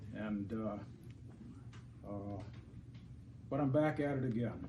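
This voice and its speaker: Somewhat breathy, a man speaks in a dark, mellow tone with ordinary pitch variation, and audible room echo surrounds him. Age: 70s. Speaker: landlord speaking at public hearing. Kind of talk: public comment. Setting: city council meeting. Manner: halting.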